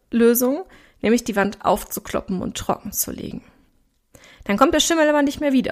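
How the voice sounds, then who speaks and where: A woman with a slight Ruhr accent, an animated tone and lively intonation. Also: very clean recording, silent background. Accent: Ruhr regional German, slight. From Ruhr area, Germany. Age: 30s. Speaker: podcast host and weight coach. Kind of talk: solo podcast monologue.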